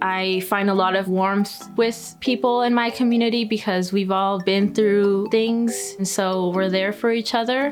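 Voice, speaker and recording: Over music in the background, a woman speaks at a fairly slow pace and medium pitch, with fairly even intonation, very even loudness and hardly any pauses. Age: 20s. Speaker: artist and performer. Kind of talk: documentary interview answer.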